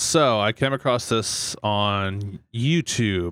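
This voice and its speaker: A man with a Canadian accent at medium pitch, bright, sharp tone and ordinary pitch variation, in a dry, close sound with no echo on a very clean recording with a silent background. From Fort McMurray, Alberta, Canada. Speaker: podcast co-host. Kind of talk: casual chat.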